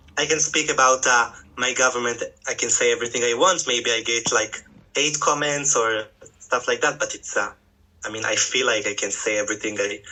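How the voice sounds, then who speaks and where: With an Israeli accent, a man speaks at a fairly quick pace with ordinary pitch variation amid noticeable background noise. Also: medium pitch for a man. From Israel, Tel Aviv. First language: Hebrew. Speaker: farmer, former educator. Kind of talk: interview. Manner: halting, many hesitations.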